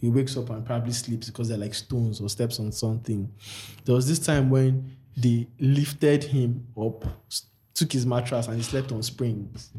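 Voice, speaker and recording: A man's medium-pitched, somewhat breathy voice, dark and mellow in tone, with fairly even intonation at a moderate pace. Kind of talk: casual chat.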